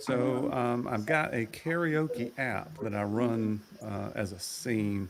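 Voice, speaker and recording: There is noticeable background noise as a man speaks at a very slow pace. His intonation is lively. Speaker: guest, karaoke streamer. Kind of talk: casual chat.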